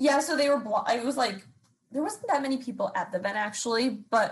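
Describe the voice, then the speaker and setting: Somewhat breathy, a woman talks at a fairly quick pace with ordinary pitch variation. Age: 20s. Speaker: social media commentator. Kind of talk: casual chat. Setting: video call.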